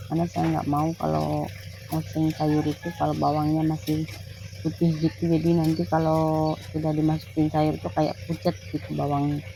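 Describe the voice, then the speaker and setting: A woman's very deep, low voice with lively intonation, very even loudness and a moderate pace. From East Kalimantan, Indonesia (Dayak Tunjung). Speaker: housewife vlogger. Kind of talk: cooking vlog tutorial. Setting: home kitchen. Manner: halting, stiff.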